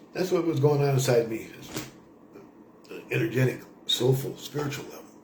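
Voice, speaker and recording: A man speaks at a very fast pace. The recording has noticeable background noise and audible room echo. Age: 60s. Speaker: vlogger on a spiritual pilgrimage. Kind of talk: casual spoken monologue to camera. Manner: rambling with frequent fillers.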